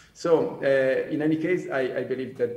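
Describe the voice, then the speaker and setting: Audible room echo and noticeable background noise around a man talking. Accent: Italian. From Italian-speaking Switzerland. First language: Italian. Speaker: commodity trading executive. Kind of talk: panel discussion. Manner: halting, many fillers.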